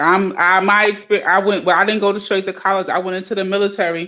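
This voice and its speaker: At a very fast pace, a woman with a Caribbean accent speaks in a bright, sharp tone at medium pitch, her intonation monotone and flat. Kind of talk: casual, conversational.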